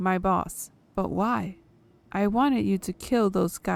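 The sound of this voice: The reading voice sounds unforced. Pitch shifts with ordinary variation.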